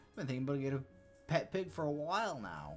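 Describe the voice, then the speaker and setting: In a put-on character voice, a man rattles along at a very fast pace with a strained, medium-pitched sound over clear background noise. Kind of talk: comic falsetto impression. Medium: game stream. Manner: warm, effusive.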